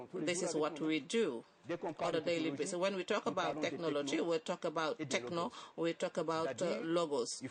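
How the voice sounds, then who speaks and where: Noticeable background noise is audible throughout. The talking proceeds at a moderate pace. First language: not English. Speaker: summit panelist. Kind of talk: panel discussion. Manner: halting.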